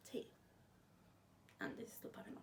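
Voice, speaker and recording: Audible room echo carries a woman's voice marked by vocal fry. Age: 20s. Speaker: book vlogger. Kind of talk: casual vlog chat.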